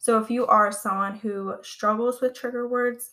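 A woman's monotone, flat delivery with a Californian accent. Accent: American (California). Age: 20s. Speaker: podcast host, phobia community page runner. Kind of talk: casual solo podcast talk.

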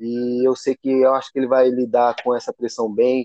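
This man has a medium pitch. His intonation stays monotone and flat. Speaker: MMA fighter. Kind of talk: interview.

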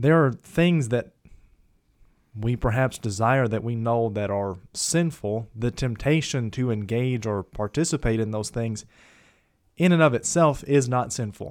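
Recorded very cleanly against a silent background, a man with a normal speaking voice talks at medium pitch and a fairly slow pace with ordinary pitch variation. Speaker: co-host of a Bible discussion podcast. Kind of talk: casual Bible study discussion.

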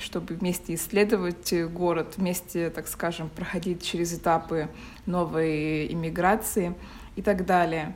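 In a fairly low voice, a woman speaks at a very slow pace with fairly even intonation. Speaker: podcast co-host. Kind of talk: casual chat.

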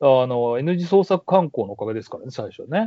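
A man talks at a moderate pace. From Kansai, Nara city. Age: 30s. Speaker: university professor. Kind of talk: casual interview. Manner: laughs often.

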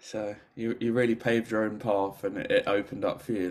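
Speaking in a London accent at a fairly quick pace, a man keeps a medium pitch and fairly even intonation. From London, England. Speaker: podcast host. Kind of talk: casual chat.

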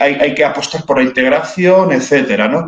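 This man has an unremarkable speaking voice, pitched fairly high, and talks at a moderate pace. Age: 30s. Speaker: writer and cultural commentator. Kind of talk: interview.

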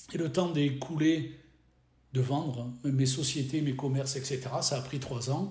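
A man with a somewhat breathy, dark, mellow voice at medium pitch speaks at a moderate pace amid audible room echo. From French Riviera, southern France. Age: 60s. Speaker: business trainer and consultant. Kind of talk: interview.

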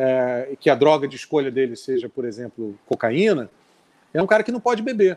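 Over a dry, close sound with no echo, a man moves at a fairly quick pace while his pitch swings very widely. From Brazil, Rio de Janeiro. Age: 40s. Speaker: rock musician. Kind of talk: casual chat. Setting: live stream.

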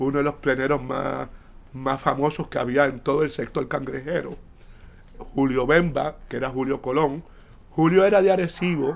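A man talks at a fairly high pitch with vocal fry. His pace is fairly slow, with ordinary pitch variation. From Puerto Rico, Santurce (San Juan). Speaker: retired sociologist and professor. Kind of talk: casual interview.

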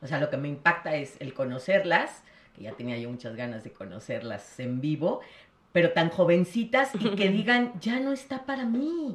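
A woman with a fairly low pitch speaks at a moderate pace, using vocal fry. Her pitch swings very widely and her loudness rises and falls by big amounts. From Mexico City. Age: 50s. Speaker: gestalt psychotherapist. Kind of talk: casual chat.

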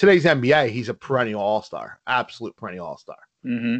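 A man with an American accent, an ordinary speaking voice, medium pitch and ordinary pitch variation, at a moderate pace, in a dry, close sound with no echo. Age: 30s. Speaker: podcast co-host. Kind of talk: casual chat.

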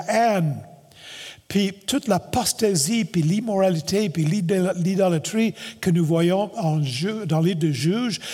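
A high-pitched man's voice with a dark, mellow tone. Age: 70s. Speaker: pastor. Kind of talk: sermon.

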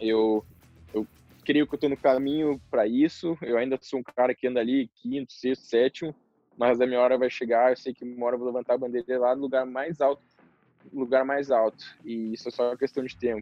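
The man's medium-pitched delivery is fairly quick, its intonation monotone and flat. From southern Brazil. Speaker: professional motocross rider. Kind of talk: interview. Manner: casual.

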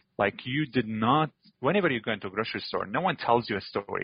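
Speaking at a moderate pace, a man talks with an Arabic accent. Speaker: chocolate company CEO, former refugee. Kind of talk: interview, personal story.

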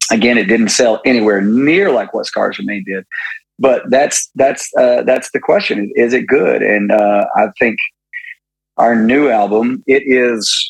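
A man talks at a fairly slow pace. He speaks with an East Tennessee accent. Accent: Southern US (East Tennessee). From US South, East Tennessee (Maryville). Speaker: rock band lead vocalist. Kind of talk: casual chat.

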